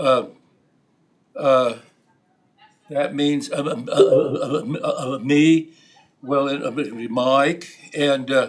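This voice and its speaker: A man with an American accent speaks at a very slow pace with fairly high pitch, fairly even intonation and long, frequent pauses. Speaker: member of the public speaking at county commission. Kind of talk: public comment at government meeting. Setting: county commission meeting room, on camera. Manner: halting, many repetitions and fillers.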